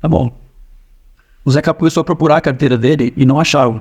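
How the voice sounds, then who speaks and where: A man talking at a very fast pace. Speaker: storyteller. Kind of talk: personal anecdote. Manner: casual, hesitant. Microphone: no microphone, AI-enhanced audio.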